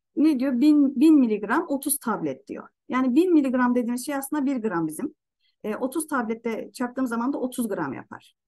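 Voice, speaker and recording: Against a quiet background, a woman talks at a moderate pace in a high voice with a dark, mellow tone and lively intonation. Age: 30s. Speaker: product presenter; presenter. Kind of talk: online presentation; product presentation explaining slides. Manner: halting. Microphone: webcam.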